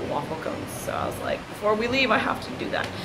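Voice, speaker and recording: Noticeable background noise is present. Through it, a woman talks at a moderate pace. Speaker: vlogger. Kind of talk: casual vlog chat. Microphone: phone near.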